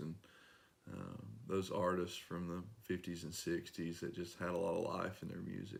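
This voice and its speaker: A man with an East Tennessee accent, a very deep, low pitch, fairly even intonation and a moderate pace. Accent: local east Tennessee. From US South, east Tennessee. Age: 30s. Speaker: singer-songwriter and mechanic. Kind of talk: interview. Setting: at his workplace.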